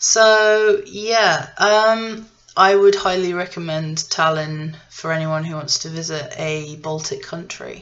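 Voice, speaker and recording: In an English accent, a woman talks at a very slow pace with hardly any pauses and ordinary pitch variation, in audible room echo. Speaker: vlogger. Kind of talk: casual travel vlog monologue. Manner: hesitant, many fillers and restarts.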